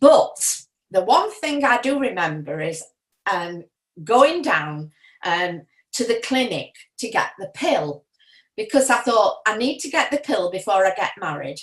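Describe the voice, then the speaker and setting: In a Yorkshire accent, a woman talks at a fairly high pitch with vocal fry. Her pitch swings very widely, broken by long, frequent pauses. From Yorkshire, northern England. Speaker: retiree sharing memories. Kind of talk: personal reminiscence. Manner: hesitant, many fillers.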